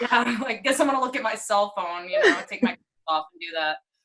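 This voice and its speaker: With an American accent, a woman talks at a moderate pace in a medium pitch, her intonation lively. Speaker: tattoo artist. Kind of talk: casual chat. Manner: hesitant, many fillers.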